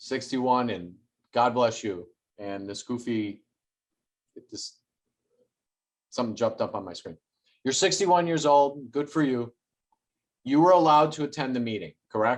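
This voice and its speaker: Man at a medium pitch and moderate pace, with lively intonation, big swings in loudness and long, frequent pauses. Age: under 60. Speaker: local activist. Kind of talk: interview.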